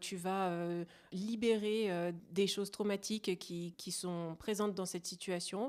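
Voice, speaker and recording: Speech comes at a fairly slow pace with fairly even intonation in a very clean recording with a silent background. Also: woman. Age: 30s. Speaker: family constellation practitioner. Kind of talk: interview. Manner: hesitant, many fillers.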